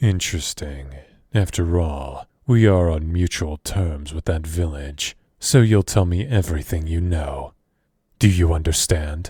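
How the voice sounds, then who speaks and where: On a very clean recording with a silent background, a man uses a put-on character voice, very deep and low in pitch, at a fairly slow pace. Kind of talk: audio roleplay.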